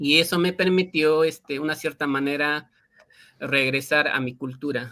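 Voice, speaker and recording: A man with an Andean accent speaks at a fairly slow pace, his pitch fairly high, his tone bright and sharp, and his intonation fairly even. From Peruvian Andes, Quechua-speaking area. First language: Quechua (speaking Spanish). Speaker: linguist and Quechua teacher. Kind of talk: interview. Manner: halting, many fillers.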